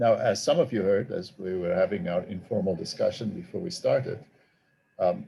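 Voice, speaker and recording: A man speaks at a moderate pace with a South African accent. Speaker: theology professor and author. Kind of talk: talk to a group. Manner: halting.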